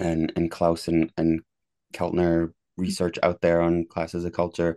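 At a fairly slow pace, a man with an American accent and a very deep, low voice speaks in a dry, close sound with no echo over a quiet background. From rural Maine, US. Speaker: psychology professor. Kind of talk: interview, conversational.

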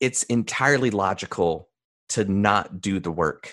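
In a quiet background, a man with an American accent and a normal speaking voice talks at a fairly slow pace and a fairly low pitch. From US South, mountains of North Carolina. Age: 30s. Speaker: mentalist and speaker. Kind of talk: interview conversation.

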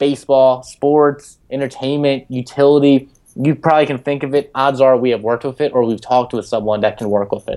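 A man talks in an ordinary speaking voice, with medium pitch, ordinary pitch variation and a moderate pace. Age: 20s. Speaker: startup founder. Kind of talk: interview. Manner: filler-heavy, many ums.

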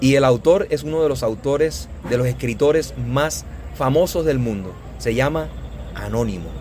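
The speech moves at a moderate pace. There is noticeable background noise. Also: man. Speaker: Spanish teacher and podcast host. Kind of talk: casual interview. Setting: outdoors on a coffee farm.

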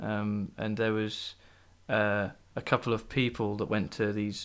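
A man's fairly low-pitched voice with a Norfolk accent, on a very clean recording with a silent background. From England, Norwich. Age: 20s. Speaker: environmental technician. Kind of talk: casual chat. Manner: soft-spoken.

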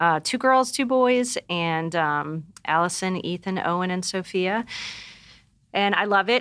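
In a very clean recording with a silent background, a woman with an American accent speaks in a plain, everyday voice at a fairly slow pace and medium pitch, with lively intonation. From Pennsylvania. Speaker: stay-at-home mother. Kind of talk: casual interview chat.

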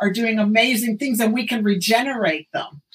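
Over noticeable background noise, a woman speaks in an animated tone at a fairly high pitch for a woman. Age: 60s. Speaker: functional medicine doctor. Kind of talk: casual chat.

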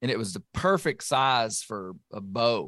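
With a dry, close sound and no echo, a man in an Arkansas accent speaks at a medium pitch and moderate pace. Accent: Southern US (Arkansas). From western Arkansas. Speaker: podcast host and bear hunter. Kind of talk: casual interview conversation. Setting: remote recording.

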